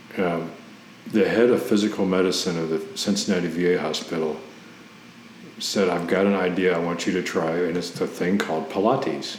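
A man with an American accent speaks in a very deep, low voice. His intonation is fairly even, over noticeable background noise. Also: moderate pace. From Ohio, US Midwest. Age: 40s. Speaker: Navy veteran and adult ballet student. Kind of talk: interview, personal story.

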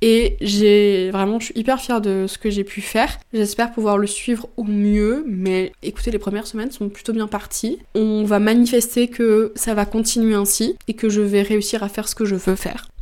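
Speaking at a moderate pace with hardly any pauses, a woman has a fairly high pitch and a dark, mellow tone. Her intonation is fairly even. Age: 20s. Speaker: book content creator and podcaster. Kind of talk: casual solo chat.

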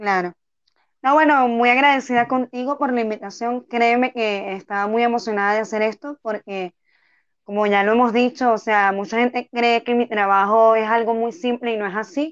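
Fairly even intonation at a moderate pace, in an ordinary speaking voice. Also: woman, fairly high pitch for a woman. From Venezuela, Tucupita. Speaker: street singer. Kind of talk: interview.

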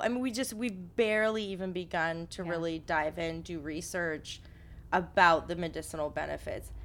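A woman with a fairly low pitch speaks at a moderate pace in a normal speaking voice. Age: 30s. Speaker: cannabis podcast co-host. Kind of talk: casual chat. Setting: studio room, smoking.

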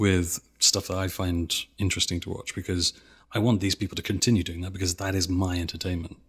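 A very deep, low-pitched, somewhat breathy man's voice at a very fast pace, monotone and flat, on a very clean recording with a silent background. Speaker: YouTuber video essayist. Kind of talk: casual chat interview. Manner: stutter, pronounced speaking style.

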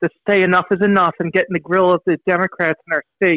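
A man's raised, projected voice with a bright, sharp tone and a dry, close sound without echo. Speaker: caller. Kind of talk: call-in talk radio discussion. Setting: phone call.

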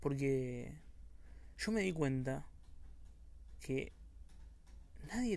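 There is audible room echo in this clip. The voice heard is a man's. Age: young (19-20). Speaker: podcaster. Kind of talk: casual monologue.

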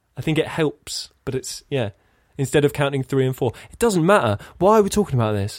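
Very wide pitch swings and a fairly quick pace mark this speech in an English accent, recorded very clean with a silent background and a dry, close sound with no echo. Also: man, fairly high pitch for a man. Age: 30s. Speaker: podcast co-host. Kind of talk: casual chat.

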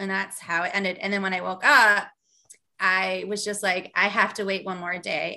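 A woman speaks at a medium pitch with a normal speaking voice. Her intonation stays fairly even, and her pace is fairly quick. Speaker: author and marketing entrepreneur. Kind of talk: interview conversation.

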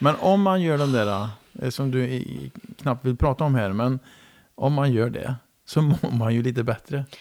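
Fairly slow speech from a man at a medium pitch, with ordinary pitch variation and long, frequent pauses. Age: 50s. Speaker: podcast host. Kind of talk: casual interview. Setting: home kitchen.

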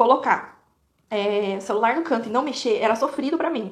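Here a woman speaks at a fairly high pitch. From Brazil, interior of São Paulo state. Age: 20s. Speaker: social media influencer and lawyer. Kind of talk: casual monologue to followers.

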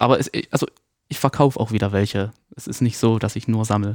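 Very fast speech from a man at medium pitch. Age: 20s. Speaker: social media content creator. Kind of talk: casual chat.

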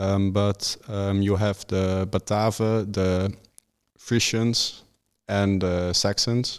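A man with a Dutch accent speaks at a fairly low pitch and a very slow pace. The recording is very clean, with a silent background. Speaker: history student. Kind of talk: casual chat. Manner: hesitant, many ums.

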